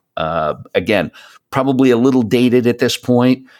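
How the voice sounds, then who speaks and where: On a very clean recording with a silent background, a man with an ordinary speaking voice speaks at medium pitch and a moderate pace. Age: 50s. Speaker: podcast host. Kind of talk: casual chat.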